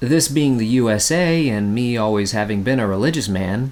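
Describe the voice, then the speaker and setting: A man's put-on character voice, hoarse and croaky, at medium pitch and a moderate pace. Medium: read story. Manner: plain-spoken, homespun.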